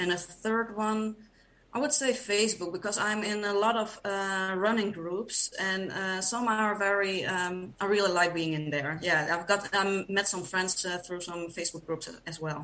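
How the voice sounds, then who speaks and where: In a Dutch accent, a woman speaks at a moderate pace and a medium pitch. Her pitch varies in an ordinary way. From Netherlands. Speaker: podcast guest, runner. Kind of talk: casual interview chat. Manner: hesitant, many fillers.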